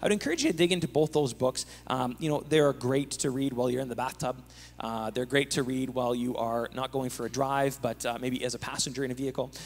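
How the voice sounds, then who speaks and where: This man rattles along very fast, his pitch sitting in the medium range. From Canada. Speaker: pastor. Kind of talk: panel discussion in church service. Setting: church with live audience and video stream. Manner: joking, animated. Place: church. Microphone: handheld.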